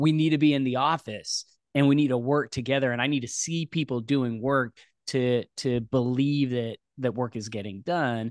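An unremarkable speaking voice at a moderate pace, with fairly even intonation, a dry, close sound with no echo and a quiet background. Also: man, medium pitch for a man. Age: 40s. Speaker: podcast co-host. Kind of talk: casual interview chat.

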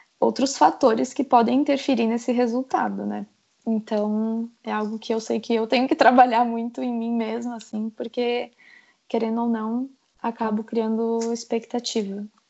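Fairly even in intonation, an ordinary speaking voice proceeds at a moderate pace. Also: woman, fairly high pitch for a woman. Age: 20s. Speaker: medical student. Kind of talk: casual chat.

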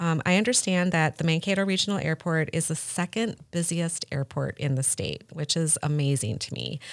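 In a very clean recording with a silent background and a dry, close sound with no echo, a woman with a plain, everyday voice talks at a moderate pace, her fairly low pitch showing ordinary pitch variation. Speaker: podcast host. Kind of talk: casual interview.

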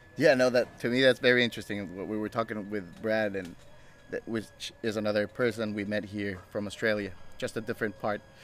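Music plays in the background as a man talks at a fairly quick pace with a fairly low pitch and fairly even intonation. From Mexico. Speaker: podcast host. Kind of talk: casual interview. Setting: traveling in rural Egyptian oasis.

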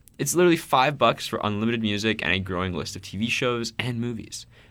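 The man speaks at a fairly quick pace and medium pitch. His tone is bright and sharp. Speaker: student podcast co-host. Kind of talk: casual chat.

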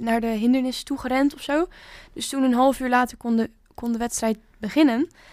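A woman speaks with a high pitch at a moderate pace. Her intonation is fairly even. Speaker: podcast co-host. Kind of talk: casual chat.

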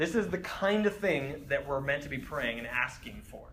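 A man's voice with audible room echo. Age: 30s. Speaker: campus minister teaching a Bible study. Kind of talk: sermon. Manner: casual with frequent fillers.

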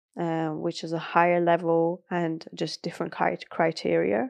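A woman with a British accent speaks in a fairly low pitch. Her intonation is fairly even, and the sound is dry and close with no echo. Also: quiet background. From Iran (north, Caspian coast), moved to UK at about seven. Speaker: bodybuilder and coach. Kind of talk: interview conversation.

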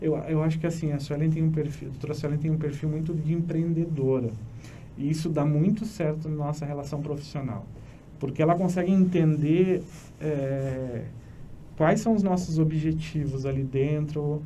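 Against audible room echo, a man speaks at a moderate pace with a fairly high pitch and fairly even intonation. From Paraná, Brazil (São José dos Pinhais). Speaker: clinic manager, business administrator. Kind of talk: interview. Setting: studio.

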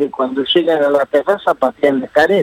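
Recorded dry and close with no echo, a man with a fairly high pitch speaks with lively intonation in an unremarkable speaking voice. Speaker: union leader. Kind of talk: interview.

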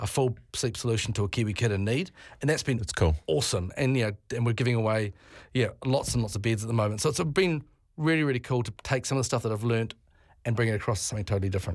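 A man with a New Zealand accent talks at a very fast pace and a medium pitch, with ordinary pitch variation. The recording is very clean, with a silent background. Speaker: tourism business leader. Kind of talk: radio interview. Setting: studio.

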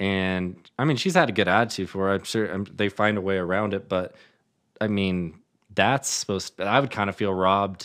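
In an American accent, a man speaks with an unremarkable speaking voice at a fairly low pitch. His pace is moderate and his intonation fairly even. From Colorado, Denver area. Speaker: podcast co-host. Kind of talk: casual chat.

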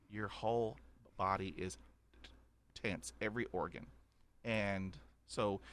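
A man with a Texan accent. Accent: Texan Southern US. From Texas. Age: 50s. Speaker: podcaster who stutters. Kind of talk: personal testimony in interview. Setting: remote call.

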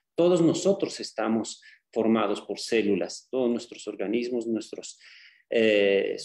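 A plain, everyday voice, from a man at medium pitch. He speaks at a fairly slow pace with ordinary pitch variation. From Bolivia. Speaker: medical doctor, cancer specialist. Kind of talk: lecture. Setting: video call.

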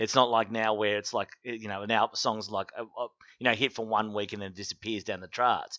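With an Australian accent, a man speaks at a fairly low pitch and a fairly quick pace in a monotone, flat intonation and a bright, sharp tone, the sound dry and close with no echo over a quiet background. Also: big swings in loudness. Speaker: podcast guest. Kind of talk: casual chat.

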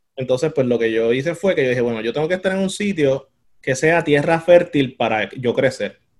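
At a fairly quick pace, a man talks in an ordinary speaking voice, pitched fairly high with ordinary pitch variation. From Puerto Rico. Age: 30s. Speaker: demographer. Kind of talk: interview.

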